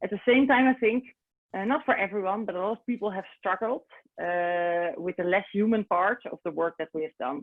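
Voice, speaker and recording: A woman with a Dutch accent, medium-pitched, at a fairly quick pace with lively intonation. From Netherlands. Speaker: recruitment consultant. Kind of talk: webinar presentation. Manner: halting, many fillers.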